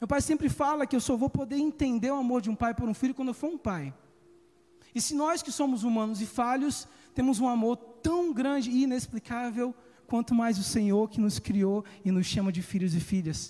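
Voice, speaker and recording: A man speaks at an extremely high pitch with a dark, mellow tone. His pace is moderate and his pitch variation ordinary. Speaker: preacher. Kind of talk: sermon.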